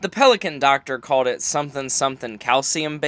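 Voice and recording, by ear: The clip has someone reading aloud in a natural voice.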